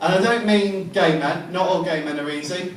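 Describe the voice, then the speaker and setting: Noticeable background noise surrounds a man's voice. The room echo is audible. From England. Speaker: amateur stand-up comedian. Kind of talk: stand-up. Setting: stage with audience. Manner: halting, many ums.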